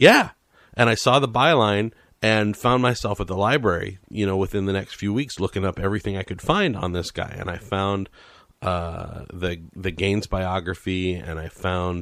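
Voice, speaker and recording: A man talks at a moderate pace in a plain, everyday voice, on a very clean recording with a silent background. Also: fairly low pitch for a man, ordinary pitch variation. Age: 40s. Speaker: radio podcast host. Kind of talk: interview.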